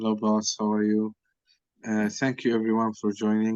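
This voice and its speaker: A fairly low-pitched man with a Palestinian accent and a monotone, flat delivery. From Gaza, Palestine. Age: 30s. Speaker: software engineer and language tutor. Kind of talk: interview testimony. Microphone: unstable connection from Rafah.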